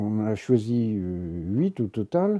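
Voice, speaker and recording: A man's dark, mellow voice at a fairly low pitch and very slow pace, dry and close with no echo against a quiet background. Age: 70s. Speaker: goat breeder and nature conservationist. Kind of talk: documentary interview. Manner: halting.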